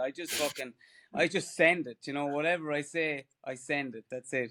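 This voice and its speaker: In an Irish accent, a man speaks at a moderate pace with a fairly high pitch. His intonation is fairly even, and the recording is very clean with a silent background. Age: 40s. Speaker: ultra runner. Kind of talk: casual chat.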